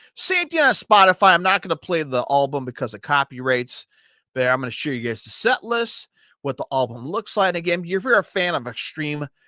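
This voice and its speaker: A man's high, bright, sharp voice takes very wide pitch swings in an animated tone. He moves at a fairly quick pace in a very clean recording with a silent background. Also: dry, close sound with no echo. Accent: Chicago. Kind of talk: casual music review.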